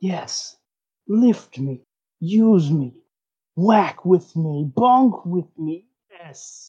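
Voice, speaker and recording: A put-on character voice at middle pitch, very slow, with long, frequent pauses. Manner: seductive, eager.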